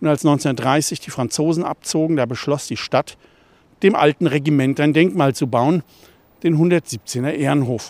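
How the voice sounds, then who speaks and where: A man with a normal speaking voice talks at a fairly slow pace with ordinary pitch variation. His pitch sits fairly high, and the sound is dry and close with no echo. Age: 60s. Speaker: newspaper journalist and local history author. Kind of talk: audio walking tour narration.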